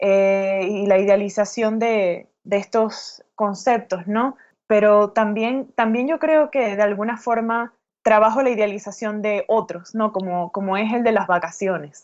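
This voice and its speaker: A woman's fairly high pitch with ordinary pitch variation, at a fairly slow pace over a quiet background. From Venezuela, Caracas. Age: 30s. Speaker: writer. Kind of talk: interview. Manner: halting.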